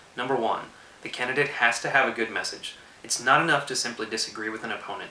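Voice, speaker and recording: A man with an American accent at a very fast pace, with noticeable background noise and audible room echo. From Texas, Austin. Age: 20s. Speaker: political video blogger. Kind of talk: prepared political commentary monologue.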